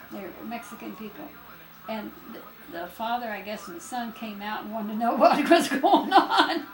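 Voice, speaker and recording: A woman speaks in a fairly high voice, her loudness swinging widely. Background noise is noticeable throughout. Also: moderate pace. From Stockton, California. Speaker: grandmother. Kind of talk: casual reminiscing conversation.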